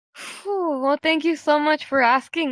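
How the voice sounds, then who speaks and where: A woman's raised, projected voice, dry and close with no echo, on a very clean recording with a silent background. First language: Spanish. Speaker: role-play group leader. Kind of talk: interview. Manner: hesitant, many fillers.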